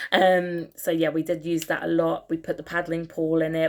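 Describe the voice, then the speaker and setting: Her pitch very deep and low, a woman talks with an English accent. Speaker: vlogger. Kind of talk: casual tutorial.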